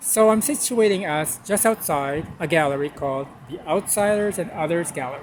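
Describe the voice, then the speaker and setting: Amid noticeable background noise, a man with a Filipino accent speaks fairly slowly with ordinary pitch variation. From Philippines. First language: Tagalog. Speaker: art video blogger. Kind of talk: gallery walkthrough vlog. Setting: outside and inside an art gallery.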